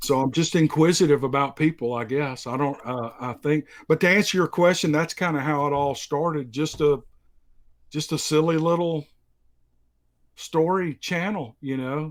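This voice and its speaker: On a very clean recording with a silent background, a man with a strong Southern US accent speaks at a moderate pace in a fairly high voice with ordinary pitch variation. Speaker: story narrator. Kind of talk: casual interview.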